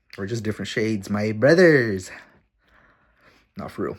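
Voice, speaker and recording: A man speaks at a medium pitch with big swings in loudness. The recording is very clean, with a silent background. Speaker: vlogger. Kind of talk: casual vlog talk to camera. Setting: at his dad's house.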